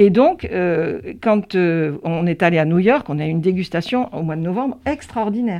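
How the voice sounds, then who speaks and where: Her pitch is medium and her intonation lively. This woman talks at a moderate pace. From France, Gironde (Pauillac, Médoc). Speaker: winegrower and business owner. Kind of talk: interview. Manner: halting.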